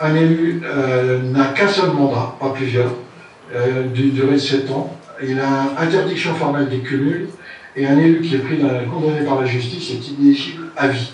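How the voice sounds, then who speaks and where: A man's fairly high voice at a moderate pace, fairly even in intonation, with audible room echo and noticeable background noise. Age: 70s. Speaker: citizen candidate. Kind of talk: speech. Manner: halting.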